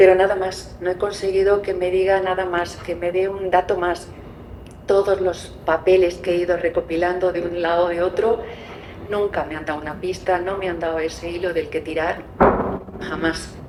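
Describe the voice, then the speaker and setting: A woman's medium-pitched voice in monotone, flat intonation at a moderate pace, over noticeable background noise. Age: 60s. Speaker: adoptee searching for birth family. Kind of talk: testimony.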